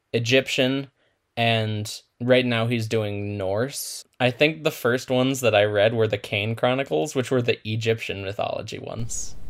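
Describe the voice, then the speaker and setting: A man speaks at a medium pitch in an unremarkable speaking voice, his intonation fairly even. The recording is very clean, with a silent background. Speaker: podcast co-host. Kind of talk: casual chat.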